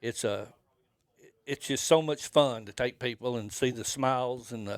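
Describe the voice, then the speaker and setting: A man with an American accent talks at a moderate pace, medium in pitch, with fairly even intonation. The recording is very clean with a silent background, and the sound is dry and close with no echo. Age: 60s. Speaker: fishing guide. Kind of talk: casual interview. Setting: fishing trade show. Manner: halting.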